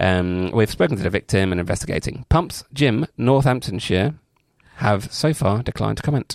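A man speaks in a plain, everyday voice, pitched fairly low with lively intonation. The sound is dry and close, with no echo. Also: moderate pace. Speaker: podcast host. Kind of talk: casual banter, podcast chat.

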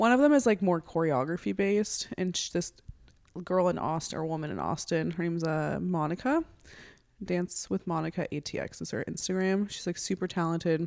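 Using an ordinary speaking voice, this woman talks at a moderate pace, her pitch varying in an ordinary way. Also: fairly low pitch for a woman. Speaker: podcast guest, host's older sister. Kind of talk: casual chat. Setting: podcast recording.

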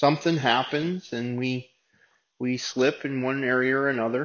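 Fairly even in intonation, a man with fairly high pitch speaks at a fairly slow pace in an unremarkable speaking voice. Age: 40s. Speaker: recovery ministry leader. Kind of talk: sermon. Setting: meeting room with audience.

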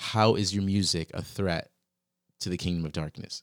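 A man with an American accent, recorded very clean against a silent background, with a dry, close sound and no echo. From Virginia, US. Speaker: podcast host. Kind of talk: casual interview conversation. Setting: in-person room across a desk.

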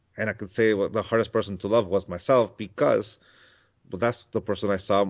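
A man with a Mexican accent at a very fast pace, in monotone, flat intonation. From Mexico. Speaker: spiritual author and teacher. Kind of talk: interview.

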